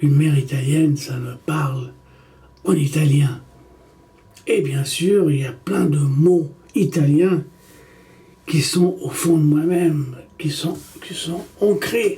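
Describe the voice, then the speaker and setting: A man with a fairly high voice speaks at a very slow pace, leaving long, frequent pauses. His pitch varies in an ordinary way. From Egypt, Italian mother. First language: Italian (speaking French). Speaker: documentary maker. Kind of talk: personal monologue to camera. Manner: halting, self-correcting.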